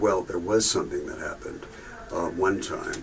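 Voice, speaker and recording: Noticeable background noise accompanies the speech of a man. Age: 70s. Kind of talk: testimony. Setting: video booth. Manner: halting.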